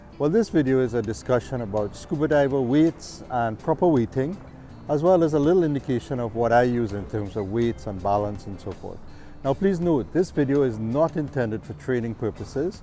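A man talks at a fairly quick pace, his voice dry with no echo. Faint music plays in the background. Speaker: scuba diving instructor or hobbyist. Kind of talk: tutorial. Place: waterside.

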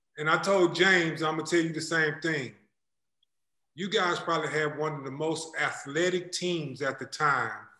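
In a room with audible echo but a quiet background, a man with a bright, sharp tone speaks at a moderate pace and a fairly high pitch with fairly even intonation. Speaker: podcast host. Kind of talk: casual chat. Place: home room. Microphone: video call.

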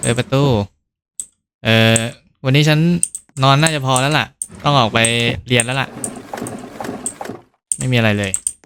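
A man speaks with an ordinary speaking voice. His pitch is medium, with ordinary pitch variation. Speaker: gaming YouTuber. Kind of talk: horror game let's play commentary with Thai dubbing of dialogue. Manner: casual, playful.

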